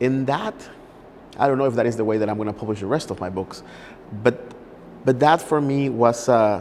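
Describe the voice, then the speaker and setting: Speaking fairly quickly with a Spanish accent, a man at medium pitch uses ordinary pitch variation and takes long, frequent pauses. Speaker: poet. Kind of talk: interview. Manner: halting.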